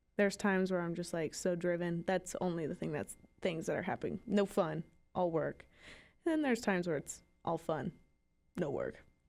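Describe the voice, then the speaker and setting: A woman at medium pitch with ordinary pitch variation, on a very clean recording with a silent background. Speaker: student podcast co-host. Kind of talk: casual chat. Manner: loud.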